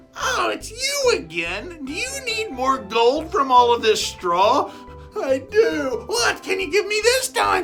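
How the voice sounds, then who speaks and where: A put-on character voice, raised and projected, at a fairly slow pace with clear music playing behind it. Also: woman. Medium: read story. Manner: sly, scheming.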